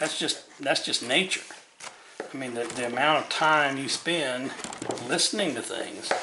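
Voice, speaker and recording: The speech moves at a fairly slow pace with long, frequent pauses and ordinary pitch variation. Noticeable background noise is present. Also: man, fairly high pitch for a man. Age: 60s. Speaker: woodcarving instructor. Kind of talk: tutorial. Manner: casual, repeats words.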